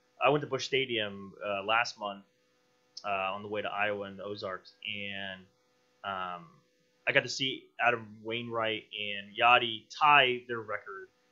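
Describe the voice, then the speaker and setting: A man speaks with a fairly low pitch at a fairly slow pace, his intonation fairly even. His loudness swings a lot against a quiet background. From Tampa Bay area, Florida; Florida. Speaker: independent filmmaker; podcast guest. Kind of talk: casual chat. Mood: relaxed, chatty. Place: studio. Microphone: studio mic.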